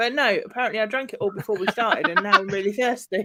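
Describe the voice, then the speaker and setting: A woman talks at a very fast pace in a bright, sharp tone, her pitch varying in an ordinary way. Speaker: comedian. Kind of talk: casual chat. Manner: slurred.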